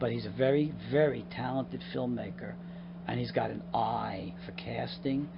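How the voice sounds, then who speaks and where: Very deep and low, a man's voice with a New York accent moves through very wide pitch swings at a moderate pace amid audible room echo. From Long Island, New York. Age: 50s. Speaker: actor and comedian. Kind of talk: casual interview chat. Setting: outdoors on a dock by the water. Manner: animated.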